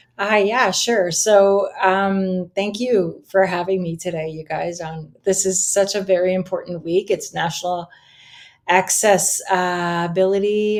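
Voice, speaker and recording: With a Canadian Maritime accent, a woman speaks fairly slowly at a medium pitch with fairly even intonation. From Nova Scotia, Canada. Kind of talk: interview.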